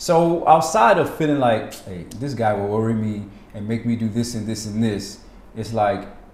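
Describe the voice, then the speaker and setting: In an American accent, a man talks at a moderate pace with a medium pitch and ordinary pitch variation, and audible room echo is present. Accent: American accent noticed by Ghanaians. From United States. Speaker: poet and educator. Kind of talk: interview. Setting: in Ghana.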